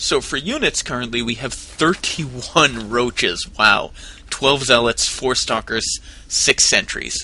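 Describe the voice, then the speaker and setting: Somewhat slowly, a man talks while clear background noise carries on behind him. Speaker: esports commentator. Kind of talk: live commentary.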